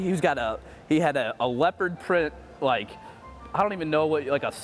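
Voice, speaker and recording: Music plays behind a man who speaks at a fairly quick pace, his fairly high voice showing ordinary pitch variation. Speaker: podcast host. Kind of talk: casual podcast interview.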